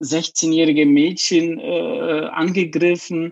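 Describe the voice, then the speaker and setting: A man with a Polish accent. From southern Poland. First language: Polish (speaking German). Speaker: LGBTQ activist. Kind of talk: interview.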